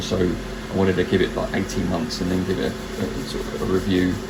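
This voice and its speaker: Over noticeable background noise and audible room echo, a man with a British accent talks at a fairly quick pace in a very deep, low pitch. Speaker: maker and craft video creator. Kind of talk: tutorial. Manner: hesitant, many fillers; slightly raised voice over noise.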